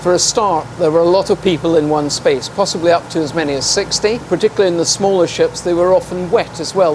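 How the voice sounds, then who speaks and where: Over noticeable background noise, a man with a slight Scottish accent speaks fairly quickly in a high pitch, his intonation fairly even. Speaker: naval historian. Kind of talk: interview on location. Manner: formal.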